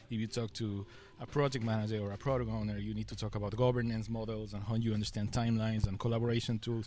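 A man with a Spanish accent, a fairly low pitch, a dark, mellow tone, monotone, flat intonation and a very fast pace. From Ecuador. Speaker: UX design director. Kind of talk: casual interview.

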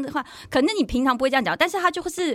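A woman with a Taiwanese accent and a high pitch, over noticeable background noise. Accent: Taiwanese Mandarin. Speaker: sports blogger and former TV anchor. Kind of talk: casual chat.

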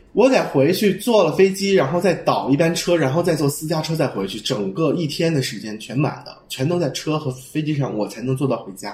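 Over noticeable background noise, a man speaks at a fairly quick pace with lively intonation and hardly any pauses. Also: fairly high pitch for a man. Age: 20s. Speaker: fashion designer. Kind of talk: casual chat.

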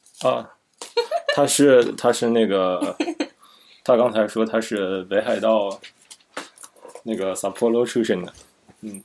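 A man's medium-pitched voice at a very slow pace, with fairly even intonation and long, frequent pauses. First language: Chinese (speaking Japanese). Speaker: interviewer. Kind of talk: casual chat.

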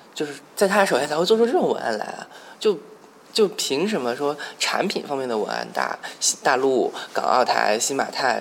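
A man's fairly high voice with very wide pitch swings over noticeable background noise. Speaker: podcast host. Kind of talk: casual chat.

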